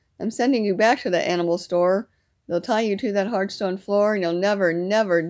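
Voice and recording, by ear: With a quiet background, the speaker is reading aloud in a natural voice.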